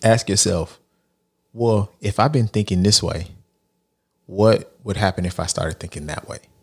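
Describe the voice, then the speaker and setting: A man with a fairly low pitch and a somewhat breathy voice speaks at a moderate pace with long, frequent pauses, in a very clean recording with a silent background. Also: ordinary pitch variation. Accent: American. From Texas. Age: 40s. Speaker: life coach and author. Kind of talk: podcast interview.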